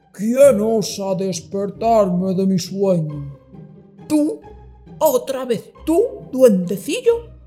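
A put-on character voice at a middle pitch moves at a very slow pace. Faint music plays in the background. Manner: dark, ominous.

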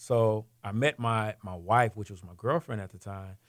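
A man speaks with an American accent in an unremarkable speaking voice, pitched fairly low. His intonation stays fairly even, and the recording is very clean with a silent background. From Houston, Texas. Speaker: food truck entrepreneur. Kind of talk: interview.

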